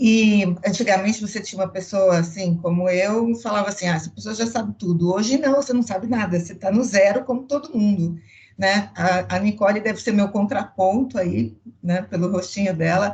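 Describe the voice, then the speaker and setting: The speaker sounds somewhat breathy, talking at a moderate pace with ordinary pitch variation. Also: woman, medium pitch for a woman. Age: 60s. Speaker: customer experience executive. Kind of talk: panel discussion.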